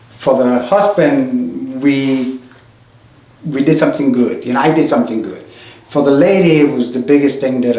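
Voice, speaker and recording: The man's voice is fairly high in pitch. Audible room echo and noticeable background noise fill the recording. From New York, the Bronx (born Puerto Rico). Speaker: sculptor. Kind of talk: oral history interview.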